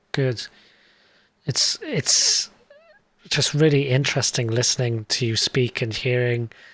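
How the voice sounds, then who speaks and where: Speaking with a British accent at a medium pitch, a man goes at a fairly slow pace. His intonation stays fairly even, and long pauses come often. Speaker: tech show host. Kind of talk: interview.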